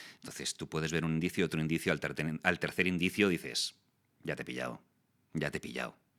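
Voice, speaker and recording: The voice has a bright, sharp tone with vocal fry and ordinary pitch variation. It moves at a very fast pace. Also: man, very deep, low pitch for a man. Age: 40s. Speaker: voice actor and communication youtuber. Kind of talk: interview.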